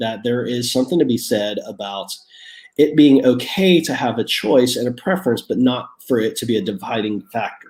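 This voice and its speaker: Using lively intonation, a man speaks at medium pitch and a moderate pace. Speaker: pastor. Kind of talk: sermon. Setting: at home, online stream. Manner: halting, many repeated words.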